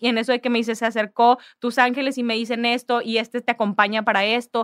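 This is a woman with an ordinary speaking voice and fairly high pitch. She talks at a fairly quick pace. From Mexico, Ciudad Victoria, Tamaulipas. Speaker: sports agency founder. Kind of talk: casual interview.

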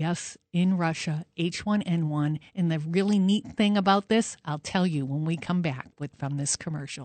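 A woman with a normal speaking voice talks at a moderate pace with ordinary pitch variation and hardly any pauses, in a dry, close sound with no echo over a quiet background. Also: fairly low pitch for a woman. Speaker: fill-in radio host, doctor. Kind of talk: talk radio monologue with callers. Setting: studio.

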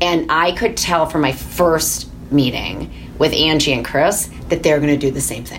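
A woman with a very deep, low pitch and ordinary pitch variation speaks at a moderate pace, with noticeable background noise and audible room echo. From Michigan. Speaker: sports team executive. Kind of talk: interview.

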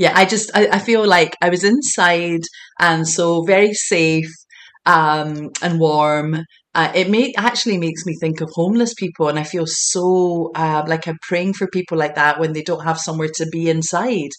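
In a Scottish accent, a woman speaks with a fairly low pitch. Her pitch variation is ordinary. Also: moderate pace. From Scotland, Glasgow. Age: 40s. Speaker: intuitive healer and empowerment coach. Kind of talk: casual interview chat.

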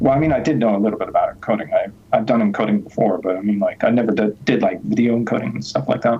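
Over noticeable background noise, a man at a medium pitch talks at a very fast pace. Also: ordinary pitch variation. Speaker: software developer, open source project founder. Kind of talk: interview. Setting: video call.

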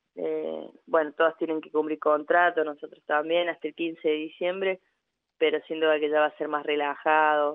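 At a moderate pace, a woman speaks with a very deep, low pitch, monotone, flat intonation and big swings in loudness. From Argentina, Córdoba. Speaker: women's football coach. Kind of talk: radio interview.

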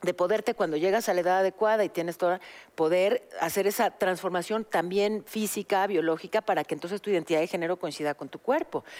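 This woman speaks at a very fast pace. Her pitch sits in the medium range with ordinary variation. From Mexico. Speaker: podcast co-host, news journalist. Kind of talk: casual chat.

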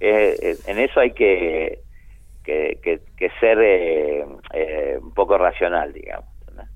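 Speaking at a very slow pace, a man shows big swings in loudness. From Argentina, provinces. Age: 50s. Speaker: painter. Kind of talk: interview.

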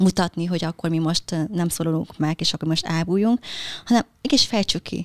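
A woman's fairly low voice with a Vietnamese accent, ordinary pitch variation and a moderate pace, in a dry, close sound with no echo. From Hungary, moved from Vietnam at 7. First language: Vietnamese (speaking Hungarian). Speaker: relationship mentor, social media creator. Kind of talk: interview.

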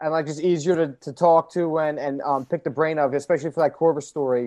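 It is an unremarkable speaking voice from a man, fairly high in pitch with ordinary variation. He speaks at a fairly quick pace, the sound dry and close with no echo. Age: 20s. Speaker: sports reporter. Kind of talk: casual interview.

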